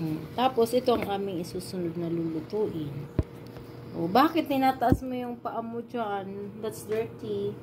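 Noticeable background noise sits behind a woman speaking at a fairly slow pace with very wide pitch swings. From Philippines. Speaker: vlogger. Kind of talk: casual cooking vlog. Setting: home kitchen. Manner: animated. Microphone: phone near.

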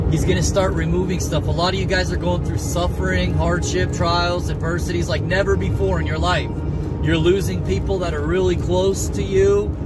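A man at a moderate pace, dry sound with no echo, music in the background. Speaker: religious vlogger. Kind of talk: casual preaching monologue. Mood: earnest, a bit defiant. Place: car. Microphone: phone near.

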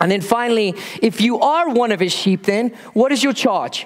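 A man's lively, moderately paced speech comes through noticeable background noise. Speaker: pastor. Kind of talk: sermon.

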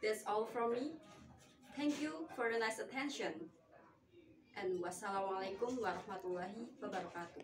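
A woman with an Indonesian accent at a very fast pace, with lively intonation, long, frequent pauses and music in the background. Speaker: university student. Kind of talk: poetry reading for a competition, with a formal self-introduction. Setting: recorded video submission. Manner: formal, measured, expressive poem delivery. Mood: polite, calm. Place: home room. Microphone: camera far.

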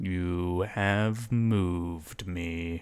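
A very clean recording with a silent background captures a man talking. His pitch is very deep and low, and his intonation is fairly even. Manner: suspicious, formal.

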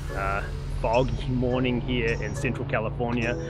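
Clear music plays in the background as a man speaks over a dry sound with no echo. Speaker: amateur cyclist vlogger. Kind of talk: casual vlog chat. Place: open country. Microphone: phone near.

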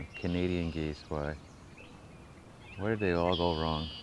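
A man's very deep, low voice, monotone and flat, at a fairly slow pace, dry with no echo, with noticeable background noise behind it. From US. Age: old. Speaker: nature vlogger. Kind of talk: casual vlog monologue. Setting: outdoors. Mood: playful, joking. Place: forest. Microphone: poor audio; phone near.

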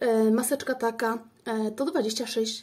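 Somewhat breathy and dark, mellow in tone, a woman speaks at a fairly high pitch. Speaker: beauty vlogger. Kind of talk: product unboxing review. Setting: daughter's room at home. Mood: curious, pleased. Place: home room. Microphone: phone near.

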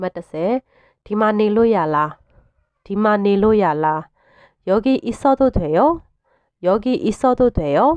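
A woman's fairly high voice with a dark, mellow tone, a Burmese accent and very wide pitch swings. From Myanmar. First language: Burmese (speaking Korean). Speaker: language teacher. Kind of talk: tutorial. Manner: slow, repetitive drilling of phrases.

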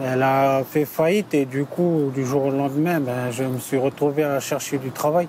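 A man at a very slow pace with fairly even intonation, dry sound with no echo, and noticeable background noise. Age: 30s. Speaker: delivery driver. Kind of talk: interview testimony; interview answer. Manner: halting. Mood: calm, reflective. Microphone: lapel.

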